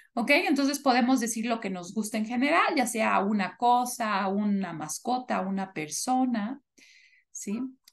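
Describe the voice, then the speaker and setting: With a fairly high pitch and a somewhat breathy quality, a woman speaks at a fairly slow pace with lively intonation over a quiet background. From Mexico, Toluca; Mexico. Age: 30s. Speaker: English teacher. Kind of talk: online class lesson, bilingual English/Spanish. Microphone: video call.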